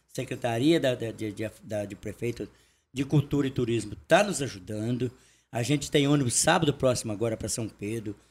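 A man talks at a fairly quick pace in a somewhat breathy voice. His pitch is medium, with ordinary pitch variation. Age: 60s. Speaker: folk music group leader. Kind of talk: casual chat.

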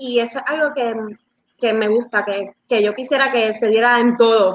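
A woman speaks at a moderate pace. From Puerto Rico (Bayamón, Dorado). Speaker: CrossFit coach. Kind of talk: live-stream interview.

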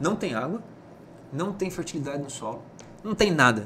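A man talks at a high pitch and a fairly quick pace. His pitch swings very widely. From Mato Grosso, Brazil (Rondonópolis). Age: 40s. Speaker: politician and businessman. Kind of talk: casual interview.

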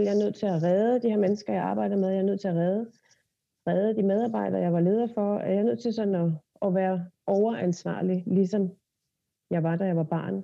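Her pitch sits in the middle range as this woman speaks at a moderate pace, with fairly even intonation, very even loudness, and long, frequent pauses. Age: 30s. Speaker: body therapist and hypnotherapist. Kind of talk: casual chat.

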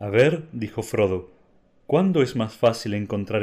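The text is read in an unforced reading voice. Its intonation is lively.

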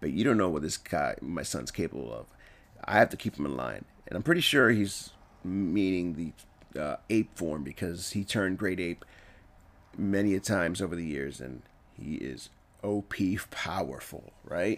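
A man's very deep, low voice with vocal fry, animated in tone and lively in intonation, at a moderate pace on a very clean recording with a silent background. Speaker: film reviewer. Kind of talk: solo video review, casual. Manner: casual, animated.

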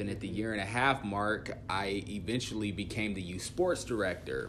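Amid audible room echo, a man talks at a fairly quick pace with fairly even intonation. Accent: American. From US Midwest, Dodge City, Kansas. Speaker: youth worker. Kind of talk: casual interview chat.

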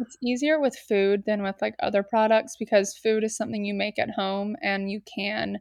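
Recorded dry and close with no echo, a woman speaks in a normal speaking voice. She has an American accent, medium pitch and a moderate pace. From US South, Atlanta, Georgia. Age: 20s. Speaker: entrepreneur. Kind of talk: casual chat. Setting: remote call without video.

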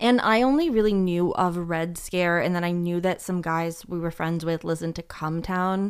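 On a very clean recording with a silent background, a woman with an unremarkable speaking voice talks at a fairly low pitch. Her pace is moderate, her intonation fairly even, and she hardly pauses. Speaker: podcast co-host. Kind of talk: casual chat.

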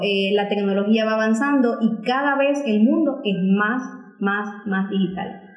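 A woman's fairly high-pitched voice at a fairly slow pace, with ordinary pitch variation, audible room echo and noticeable background noise. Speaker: journalist. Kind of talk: interview.

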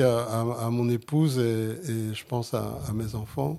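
A man's dark, mellow voice with a Sicilian accent. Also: very clean recording, silent background. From Flemish Limburg, Belgium, Italian community. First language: Sicilian (speaking French). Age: 60s. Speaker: jazz saxophonist. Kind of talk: interview. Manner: halting.

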